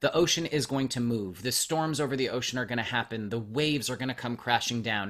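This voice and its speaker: Speaking at a fairly quick pace, a man uses an unremarkable speaking voice at a medium pitch with ordinary pitch variation. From Canada, Montreal. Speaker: podcaster and meditation coach. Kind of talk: casual interview.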